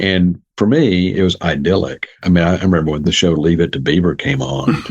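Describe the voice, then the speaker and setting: A man speaks at a fairly quick pace in a very deep, low voice with vocal fry. His pitch varies in an ordinary way. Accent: Southern US. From US South, Jackson, Mississippi. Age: 70s. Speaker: psychologist and author. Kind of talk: interview.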